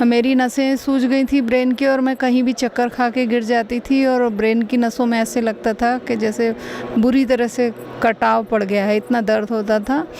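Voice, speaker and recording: Noticeable background noise sits behind a woman with a high pitch. Her intonation is monotone and flat, and her loudness stays very even. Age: 50s. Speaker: patient giving testimonial. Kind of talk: testimony.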